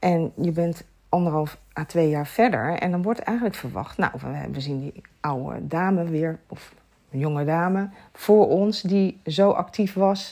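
Her tone dark and mellow, a woman speaks at a fairly slow pace with a fairly low pitch and ordinary pitch variation. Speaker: sleep and lifestyle coach. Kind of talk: casual chat.

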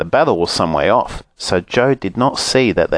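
The reading aloud is done in a natural voice, and the intonation is lively.

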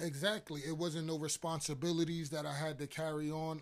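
This man talks with a New York accent. His pitch sits fairly high. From Harlem, New York. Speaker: guest sharing testimony. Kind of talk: testimony. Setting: church office.

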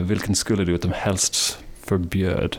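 A man with an English accent. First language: English (speaking Swedish). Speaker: podcast host. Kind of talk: interview; scripted narration.

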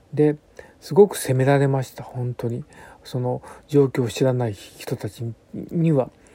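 Somewhat breathy, a man talks at medium pitch with a dark, mellow tone. He keeps a fairly slow pace and ordinary pitch variation. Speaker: bunraku puppeteer. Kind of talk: radio monologue. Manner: hesitant, many fillers.

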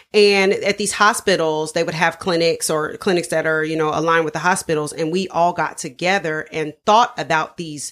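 With an American accent, a woman in a normal speaking voice talks at a moderate pace, fairly low in pitch, with ordinary pitch variation. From Dayton, Ohio, US Midwest. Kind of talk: interview.

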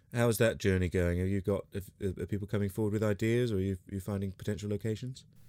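Very fast speech in a British accent, dark and mellow in tone, with fairly even intonation. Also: man, fairly low pitch for a man. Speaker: podcast host and singer. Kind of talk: casual interview chat. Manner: friendly, chatty.

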